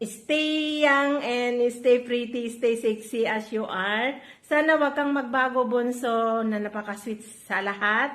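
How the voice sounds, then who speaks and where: A woman talks at a very slow pace with hardly any pauses. Her high-pitched voice keeps a fairly even intonation. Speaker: vlogger. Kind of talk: birthday greeting.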